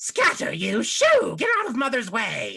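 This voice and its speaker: Put-on character voice from a man, delivered at a moderate pace. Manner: shooing, commanding.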